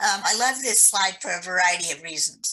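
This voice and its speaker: A woman speaks at a fairly slow pace in a bright, sharp tone. Her intonation is lively. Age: 60s. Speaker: accessibility advocate, birder. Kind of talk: webinar presentation.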